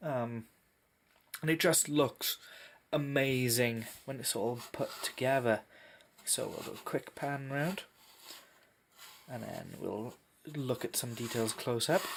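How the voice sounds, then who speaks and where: A man speaks at a very slow pace and a medium pitch. He takes long, frequent pauses, with ordinary pitch variation. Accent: Welsh. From Wales. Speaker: tabletop miniatures hobbyist. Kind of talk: casual unboxing review to camera.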